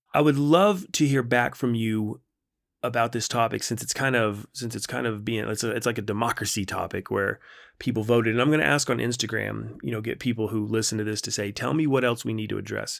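A man talks at a fairly quick pace in a plain, everyday voice, medium in pitch with ordinary pitch variation. The recording is very clean, with a silent background. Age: 40s. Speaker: podcast host, wellness coach. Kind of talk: casual solo monologue. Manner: relaxed, conversational with frequent fillers.

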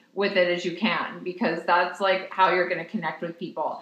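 Over noticeable background noise, a woman with an American accent speaks at a medium pitch. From New York. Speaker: lawyer turned blogger. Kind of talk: casual chat.

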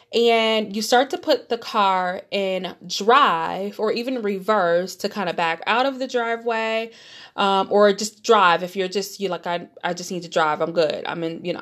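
An animated woman speaks in a Detroit accent at medium pitch with ordinary pitch variation. The recording is very clean, with a silent background. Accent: Midwestern American (Detroit). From Detroit, Michigan. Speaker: podcast host. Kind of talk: motivational monologue.

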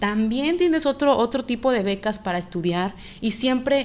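A woman with a normal speaking voice speaks at a moderate pace, her pitch varying in an ordinary way. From Mexico. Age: 20s. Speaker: podcast host. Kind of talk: casual chat.

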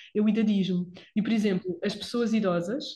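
A woman with a fairly high pitch and a dark, mellow tone speaks at a moderate pace, somewhat breathy, with fairly even intonation. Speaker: physiotherapist podcast host. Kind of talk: casual chat.

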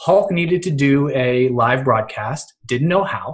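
Pitch moves in an ordinary way through this somewhat breathy voice. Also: man. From Western Pennsylvania. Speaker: social media marketer and blogger. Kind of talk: casual interview chat.

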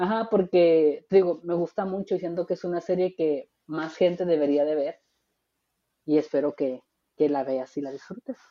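A woman talks in an unremarkable speaking voice, fairly low in pitch, with ordinary pitch variation at a moderate pace. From Tijuana, Mexico. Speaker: podcast host, radio announcer and traffic reporter. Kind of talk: casual chat. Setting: remote recording.

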